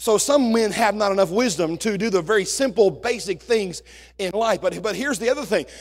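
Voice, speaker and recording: A man with a high pitch talks at a fairly quick pace in an animated tone. His pitch varies in an ordinary way over a quiet background. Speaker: senior pastor. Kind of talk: sermon to congregation, warm and humorous. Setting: church. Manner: animated, conversational, jokes with the congregation; earnest, preacherly, asks for amens. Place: church.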